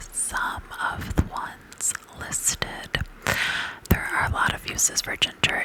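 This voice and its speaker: A fairly slow whisper carries over noticeable background noise. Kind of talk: ASMR whisper reading about essential oils. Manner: whispered, soft-spoken.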